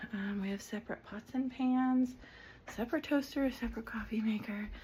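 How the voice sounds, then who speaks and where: A woman with a fairly high pitch and a dark, mellow, somewhat breathy tone speaks in a flat monotone at a moderate pace. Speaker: vlogger. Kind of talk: casual home tour vlog. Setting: at home. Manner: casual with many fillers; whispering.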